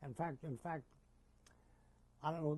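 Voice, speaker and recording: A somewhat breathy man with an American accent and fairly high pitch. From US Northeast, Jersey City, New Jersey. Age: 80s+. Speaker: war veteran. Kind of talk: oral history interview. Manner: halting, with repetitions.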